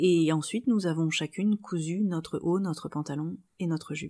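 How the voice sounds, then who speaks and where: A woman with a fairly low pitch and a dark, mellow tone, fairly slow and fairly even in intonation, in a very clean recording with a silent background. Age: 30s. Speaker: sewing podcaster and blogger. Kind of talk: solo podcast monologue.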